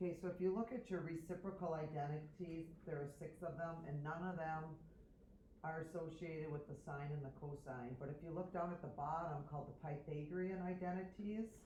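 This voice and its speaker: A woman speaks at a fairly quick pace in a fairly low, somewhat breathy voice with a dark, mellow tone, and the room echo is audible. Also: fairly even intonation. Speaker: math teacher. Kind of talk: tutorial.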